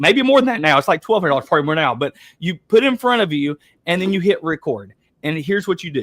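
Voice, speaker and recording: With an Appalachian accent, a man talks in a high voice with lively intonation. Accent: Appalachian Southern US. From Eastern Kentucky, US. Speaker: webinar host, real estate coach. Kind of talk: webinar coaching talk. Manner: fast; animated.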